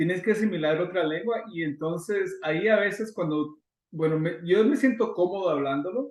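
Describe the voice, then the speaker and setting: A high-pitched male voice at a moderate pace with ordinary pitch variation. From Guatemala. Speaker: immigration consultant. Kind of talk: interview.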